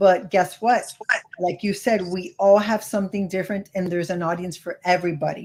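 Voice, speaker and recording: Somewhat breathy and fairly quick, a woman with a Miami accent speaks at a medium pitch with fairly even intonation. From California. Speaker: credit card YouTuber. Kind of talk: casual chat.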